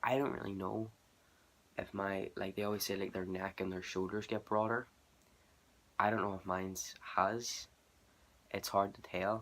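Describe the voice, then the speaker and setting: A man with a Northern Irish accent, fairly even intonation and a moderate pace, in a very clean recording with a silent background. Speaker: vlogger. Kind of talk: casual vlog.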